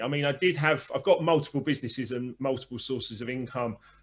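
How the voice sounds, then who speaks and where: Fairly quick male speech in a southern English accent, with ordinary pitch variation. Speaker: former DJ, business coach and author. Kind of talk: interview.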